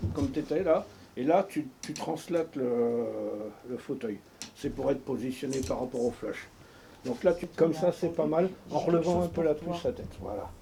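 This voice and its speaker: The voice is somewhat breathy and moves at a moderate pace. Long pauses come often. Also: man, fairly high pitch for a man, ordinary pitch variation. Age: 60s. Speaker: retired amateur photographer. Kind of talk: documentary interview; giving directions during photo shoot. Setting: home photo studio. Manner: hesitant, many filler words.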